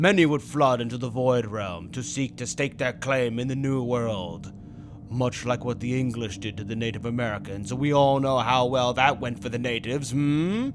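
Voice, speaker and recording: Someone performs a put-on character voice at a moderate pace. Background noise is clearly heard. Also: man, medium pitch for a man. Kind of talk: comic dub role play. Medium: dub.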